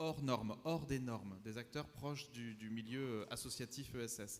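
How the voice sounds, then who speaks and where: A man's voice with ordinary pitch variation. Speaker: conference panelist, urban development consultant. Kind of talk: conference talk with slides. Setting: conference room with audience. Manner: fast; halting, many repetitions.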